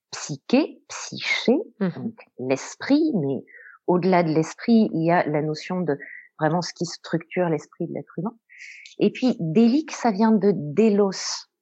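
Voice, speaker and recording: A woman speaks very slowly in a fairly low pitch, her voice making very wide pitch swings. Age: young. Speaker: psychotherapist. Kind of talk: explanatory interview.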